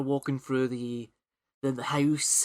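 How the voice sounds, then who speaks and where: This speaker has a Scottish accent and a moderate pace. The recording is very clean with a silent background and a dry, close sound with no echo. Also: man. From Scotland. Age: 20s. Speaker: podcast host. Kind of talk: casual chat. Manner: halting, many fillers and repeats.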